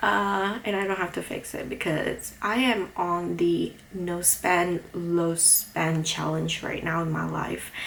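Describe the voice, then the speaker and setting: A woman with a non-native accent at a fairly slow pace, over noticeable background noise. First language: not English. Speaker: book vlogger. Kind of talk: casual vlog talk. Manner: hesitant, many fillers.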